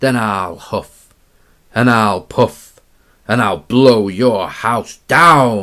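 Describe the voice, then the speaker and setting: In a put-on character voice, a man bellows very slowly at a medium pitch with a menacing tone, recorded very cleanly against a silent background. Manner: roaring, menacing.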